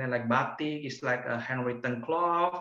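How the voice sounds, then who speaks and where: A man talks in an Indonesian accent. Audible room echo surrounds his voice. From Yogyakarta, Indonesia. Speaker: virtual tour guide. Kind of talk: casual virtual tour presentation. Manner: hesitant, conversational. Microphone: video call.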